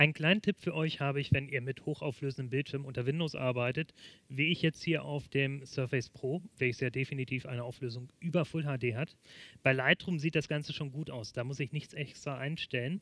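With a dry sound with no echo, a man talks at a fairly quick pace and fairly even intonation. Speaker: presenter. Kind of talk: tutorial. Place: studio. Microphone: headset.

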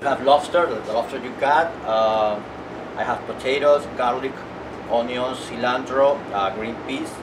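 Ordinary pitch variation at a moderate pace, with clear background noise. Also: man, medium pitch for a man.

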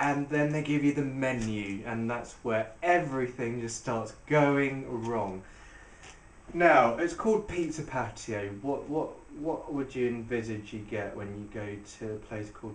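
With audible room echo around him, a man speaks at a fairly slow pace, using ordinary pitch variation and big swings in loudness. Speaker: restaurant reviewer. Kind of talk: casual vlog chat. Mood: sarcastic, mocking. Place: home room. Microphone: camera far.

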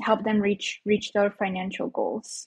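Against a quiet background, a somewhat breathy voice speaks at a moderate pace in a flat monotone. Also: woman. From Mexico, moved to US as a child. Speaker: financial educator. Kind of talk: casual interview chat. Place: home room. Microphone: earbuds.

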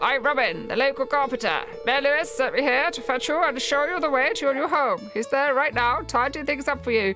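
Over music in the background, a strained, high-pitched, put-on character voice rattles along at a fairly quick pace. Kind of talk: reading game dialogue aloud. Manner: strained put-on voice.

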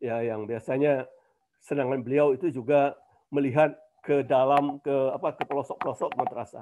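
The speaker is a man with a fairly high-pitched voice. His tone is dark and mellow. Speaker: professor. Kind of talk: webinar talk.

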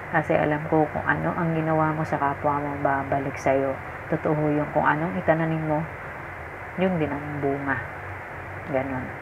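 Against noticeable background noise, a soft-spoken woman talks at a moderate pace with a very deep, low pitch, monotone, flat intonation and long, frequent pauses. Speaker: vlogger. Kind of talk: livestream talk to viewers. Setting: at home late at night, others asleep. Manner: soft-spoken, lowered voice at night. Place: home room. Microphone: phone near.

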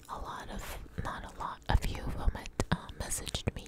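A soft-spoken woman whispers at a moderate pace. Loud background noise surrounds the dry sound, which has no echo. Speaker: ASMR content creator. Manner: soft close-mic whisper. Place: home room. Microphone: studio mic.

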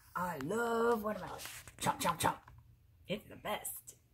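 A female-sounding voice at a medium pitch puts on a character voice at a moderate pace over noticeable background noise. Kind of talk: storybook read-aloud. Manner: playful, chomping, enthusiastic.

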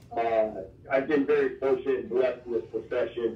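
A man speaks with an American accent at a moderate pace. Room echo is audible. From Iowa. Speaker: college football strength coach. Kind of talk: interview. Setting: phone call. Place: office. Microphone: camera far.

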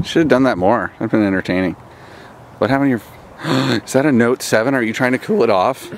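A man talks very fast with ordinary variation in pitch. The sound is dry with no echo, over light background noise. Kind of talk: casual vlog chat. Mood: playful joking. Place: open country. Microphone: phone near.

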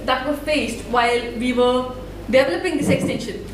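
A woman with an Indian accent and a high pitch speaks at a moderate pace, with audible room echo and light background noise. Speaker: student developer and open source volunteer. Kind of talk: conference talk. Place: hall.

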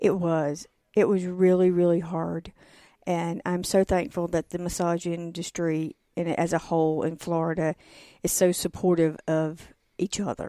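A woman with a Southern US accent, a fairly low pitch and a dark, mellow tone, at a moderate pace with monotone, flat intonation, on a very clean, dry and close recording with a silent background and no echo. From North Carolina. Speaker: massage therapist and former nurse. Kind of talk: interview. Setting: studio.

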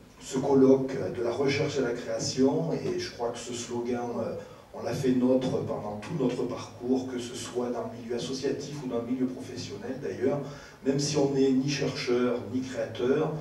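A man talks at a fairly slow pace with fairly even intonation. There is audible room echo and light background noise. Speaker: speaker, teacher. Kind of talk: panel talk. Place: stage.

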